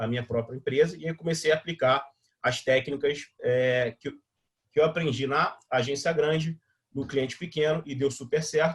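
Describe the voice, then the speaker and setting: A man speaks with a fairly high pitch and ordinary pitch variation. His voice is somewhat breathy. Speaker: digital marketing instructor. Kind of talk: live online workshop. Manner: fast; casual, filler-heavy.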